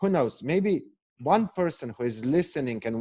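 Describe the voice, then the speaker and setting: Speaking in an Eastern European accent, a man keeps a fairly slow pace. His intonation is lively, and the background is quiet. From Slovenia. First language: Slovenian. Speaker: failure coach, entrepreneur. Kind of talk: podcast interview. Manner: halting, repeats words.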